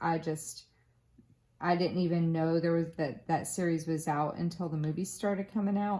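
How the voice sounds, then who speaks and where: At a moderate pace, a woman with a slight Southern US accent speaks in a fairly low pitch with fairly even intonation. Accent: slight Southern American twang. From Florida, US South. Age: 30s. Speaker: craft youtuber. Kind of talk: casual chat. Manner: casual, with many fillers and restarts.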